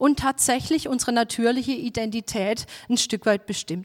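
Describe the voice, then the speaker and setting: A woman talks at a fairly slow pace with a high pitch and ordinary pitch variation. The sound is dry and close, with no echo. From southern Germany, Baden. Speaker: preacher. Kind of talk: sermon.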